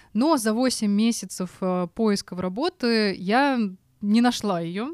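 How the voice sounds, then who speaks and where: On a very clean recording with a silent background, a woman speaks with ordinary pitch variation in a dry, close sound with no echo. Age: 30s. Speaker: podcast co-host. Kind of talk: casual chat. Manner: animated.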